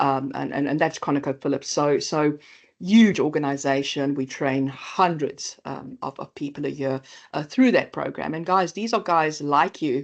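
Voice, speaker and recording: Over a quiet background, a woman with a South African accent speaks at a very deep, low pitch with ordinary pitch variation. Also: moderate pace. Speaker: AI training company presenter. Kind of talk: webinar presentation. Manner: halting, many fillers.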